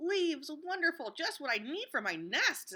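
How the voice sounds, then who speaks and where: A woman uses a put-on character voice that is squeaky and extremely high in pitch. She speaks at a moderate pace in a raised, projected voice. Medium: read story.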